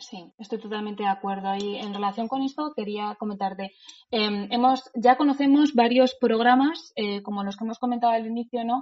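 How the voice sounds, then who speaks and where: A woman's plain, everyday voice, fairly high in pitch, with fairly even intonation, a moderate pace and big swings in loudness. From Spain, Madrid. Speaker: lawyer and podcast host. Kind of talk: interview.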